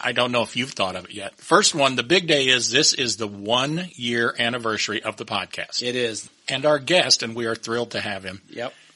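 A man speaks with an American accent, his loudness swinging widely. Noticeable background noise sits behind him. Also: medium pitch for a man, ordinary pitch variation, moderate pace. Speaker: podcast host. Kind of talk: casual chat.

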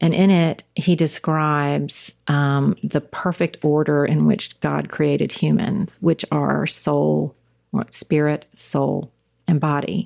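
A woman talks at a very slow pace with a slight Southern US accent and very even loudness. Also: dry, close sound with no echo. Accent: Southern US, slight drawl. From South Carolina, US South. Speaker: church women's ministry leader, former attorney. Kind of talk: casual podcast conversation.

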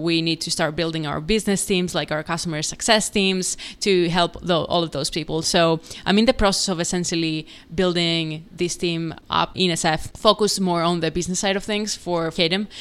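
In a Greek accent, a woman with a fairly low pitch talks at a moderate pace and with fairly even intonation on a very clean recording with a silent background. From Greece. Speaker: startup founder and CEO. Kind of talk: podcast interview.

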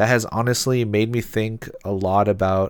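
A man speaks with a West Coast US accent and monotone, flat intonation. The recording is very clean, with a silent background. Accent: American (West Coast). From US Pacific Northwest, Seattle. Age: 20s. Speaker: podcast host. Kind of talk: solo podcast intro monologue.

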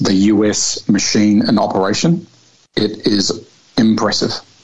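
With a New Zealand accent, a man speaks at a fairly low pitch and with fairly even intonation over noticeable background noise. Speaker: air force fighter pilot. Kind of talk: interview.

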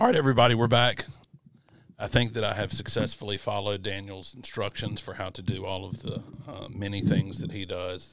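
A man with a Mississippi accent, fairly low pitch and ordinary pitch variation. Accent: US Southern (Mississippi). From Mississippi (Yazoo City). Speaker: podcast host. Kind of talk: casual chat; scripted intro. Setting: studio.

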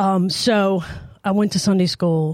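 Her tone is dark and mellow. The woman speaks at medium pitch with fairly even intonation. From New Orleans. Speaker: church member. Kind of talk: testimony.

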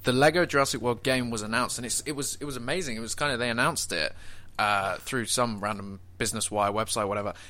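A man speaks very fast in a bright, sharp tone. His pitch is medium, with ordinary variation. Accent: British. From Britain. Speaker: fan podcast host. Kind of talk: casual chat. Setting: online call.

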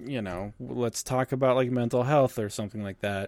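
At a moderate pace and medium pitch, a man speaks in a plain, everyday voice. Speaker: podcast host. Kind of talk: casual chat. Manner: casual, profane, chatty.

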